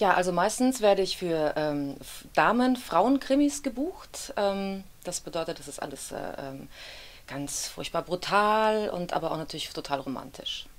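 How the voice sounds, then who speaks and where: Her delivery is fairly slow, as the woman's voice makes very wide pitch swings and big swings in loudness. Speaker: actress, audiobook narrator and dubbing voice actor. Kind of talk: interview answer. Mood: relaxed, smiling. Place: studio.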